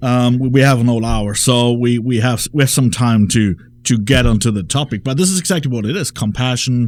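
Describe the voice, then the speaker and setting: With a German accent, a man talks at a fairly quick pace. His pitch is medium, with ordinary pitch variation. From Germany. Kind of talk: radio talk show conversation. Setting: radio studio.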